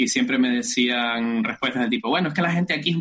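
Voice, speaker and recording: A man with a Canarian accent speaks at a fairly quick pace. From Canary Islands, rural north of Tenerife. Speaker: rural development researcher. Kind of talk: interview. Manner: halting, many fillers.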